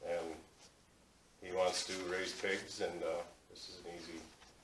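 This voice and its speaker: A man with an American accent speaks at a fairly slow pace amid audible room echo. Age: 60s. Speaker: hog farmer. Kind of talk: public meeting presentation.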